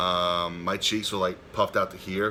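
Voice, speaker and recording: The man's voice has a very deep, low pitch. His intonation stays fairly even. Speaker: YouTuber. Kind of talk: casual vlog update. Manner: stutters at times; halting, filler-heavy.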